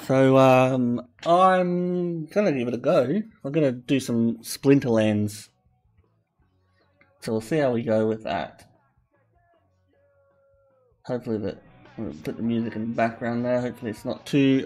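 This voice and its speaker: Over music in the background, the speaker talks at a fairly slow pace with lively intonation and long, frequent pauses. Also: man. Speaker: game streamer. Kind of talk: casual stream chat.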